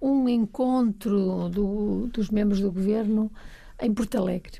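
A woman speaks at a very slow pace in a fairly high voice. Her tone is dark and mellow, and somewhat breathy. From Trás-os-Montes, Portugal (Bragança). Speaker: science museum agency president. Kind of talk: casual chat.

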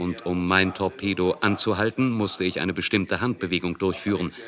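A man with a fairly low pitch speaks at a moderate pace in a normal speaking voice. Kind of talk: testimony, German voice-over of recollection.

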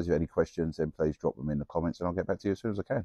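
A man speaks against a quiet background, the sound dry with no echo. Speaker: mobile DJ reviewing gear. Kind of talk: casual product review vlog. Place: street. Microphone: lapel.

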